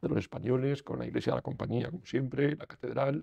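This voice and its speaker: Here a man speaks in a dark, mellow tone with ordinary pitch variation. The background is quiet. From Spain. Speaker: lawyer; interviewee. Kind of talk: interview. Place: studio.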